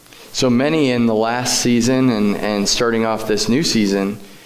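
A man at a fairly slow pace with fairly even intonation, amid noticeable background noise. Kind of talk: church interview. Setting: church.

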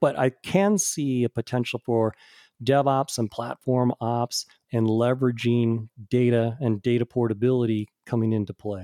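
The recording of this man's dark, mellow voice is dry and close, with no echo. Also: medium pitch for a man, ordinary pitch variation, moderate pace. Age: 50s. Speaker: tech industry executive. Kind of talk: casual interview. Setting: remote audio recording.

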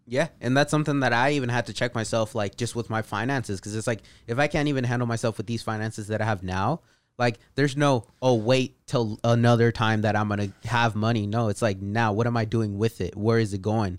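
A man's medium-pitched voice with a Californian accent, fairly even intonation and a fairly quick pace, on a very clean recording with a silent background. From California, Bay Area and Central Valley. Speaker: marketing team member, guest. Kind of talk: casual chat.

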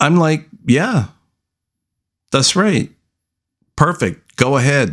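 Vocal fry runs through this very slow delivery, with very wide pitch swings, very even loudness, and long, frequent pauses. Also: man. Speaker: podcast host. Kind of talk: solo opinion monologue. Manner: casual, profane and emphatic.

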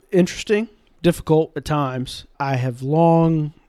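This man has a slight Southern US accent, a dark, mellow tone and ordinary pitch variation, speaking at a moderate pace. The recording is very clean with a silent background and a dry, close sound with no echo. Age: 20s. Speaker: in-house general counsel. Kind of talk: casual interview conversation.

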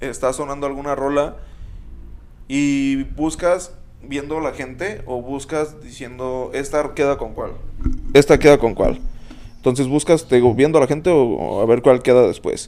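With an ordinary speaking voice, a man speaks at a fairly slow pace in a fairly high pitch and fairly even intonation. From Mexico, Uruapan, Michoacán. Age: 20s. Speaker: club DJ. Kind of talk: casual chat.

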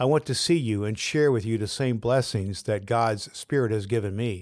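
A medium-pitched man with an ordinary speaking voice talks at a moderate pace with ordinary pitch variation in a very clean recording with a silent background. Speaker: pastor and podcast host. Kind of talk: fervent prayer, spoken aloud as a devotional. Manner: warm, earnest.

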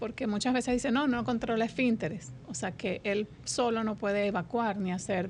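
Her voice is somewhat breathy, with lively intonation. The woman keeps a moderate pace. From Colombia, Venezuela and Dominican Republic. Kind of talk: radio interview.

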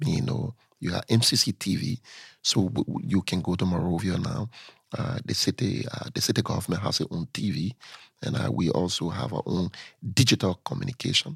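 A man with a fairly low pitch and vocal fry speaks at a moderate pace, his pitch swinging very widely. The sound is dry and close with no echo in a very clean recording with a silent background. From Liberia (Lofa County, raised in Monrovia). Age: young. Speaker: city mayor and politician. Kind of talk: interview.

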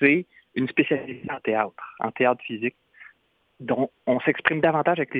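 A man of medium pitch with a Quebec accent. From Quebec, Trois-Rivières. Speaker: humanitarian clown and speaker. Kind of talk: radio interview.

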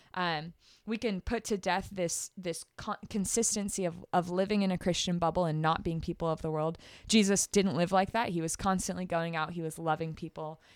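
A woman's fairly low voice with a Californian accent and fairly even intonation, on a very clean recording with a silent background. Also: moderate pace. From US West Coast, East Bay (California). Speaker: youth ministry director. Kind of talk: casual podcast chat about faith.

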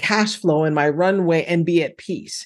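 Over a quiet background, a woman talks in an ordinary speaking voice, fairly low in pitch with fairly even intonation. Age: 50s. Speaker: financial coach and former accountant. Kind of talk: interview.

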